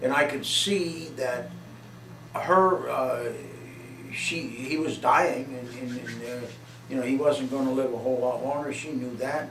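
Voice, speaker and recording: A man with an American accent at a fairly slow pace, ordinary pitch variation, audible room echo and noticeable background noise. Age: 60s. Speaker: father being interviewed. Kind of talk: casual chat. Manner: halting.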